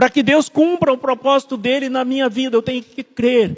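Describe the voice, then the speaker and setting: Recorded with a dry, close sound and no echo, a man speaks at an extremely high pitch. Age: 70s. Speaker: guest pastor. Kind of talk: sermon.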